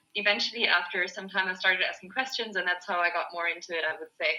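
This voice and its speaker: With a German accent, a woman speaks at a medium pitch. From Germany. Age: 20s. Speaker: yoga teacher. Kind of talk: group video call discussion. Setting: video call.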